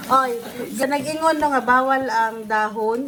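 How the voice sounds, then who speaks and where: Background noise is clearly audible. The speaker's intonation holds fairly level. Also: woman. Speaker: vlogger. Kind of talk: casual vlog chat. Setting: at home, late night. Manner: soft-spoken, lowered voice.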